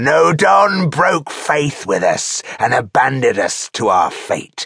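Putting on a character voice, a man speaks slowly in a gravelly, growling tone with vocal fry and big pitch swings. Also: medium pitch for a man, fairly bright tone, slightly husky edge.

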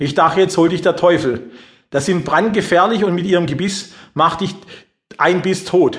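Speaking at a moderate pace, a man with a high-pitched voice takes an animated, dramatic tone. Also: ordinary pitch variation. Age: 40s. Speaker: audiobook author and life coach. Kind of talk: personal life story told as an audiobook, dramatic confessional storytelling. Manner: animated, dramatic, confiding, addresses listener directly; colloquial, emphatic, building suspense.

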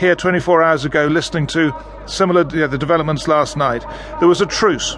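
With a British accent, a man speaks at a high pitch and a fairly quick pace with fairly even intonation over noticeable background noise. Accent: British English, BBC presenter. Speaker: radio news presenter. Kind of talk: formal news reading, scripted broadcast headlines and intro. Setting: studio. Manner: formal, measured, authoritative.

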